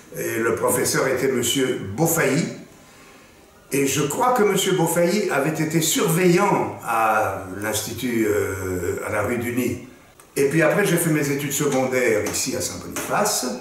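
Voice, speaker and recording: Noticeable background noise and audible room echo surround a man speaking at a fairly slow pace. His fairly high voice swings very widely in pitch. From Belgium, Brussels. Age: 70s. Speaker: actor. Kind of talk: interview, personal recollection. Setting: school archive room. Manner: slow, measured.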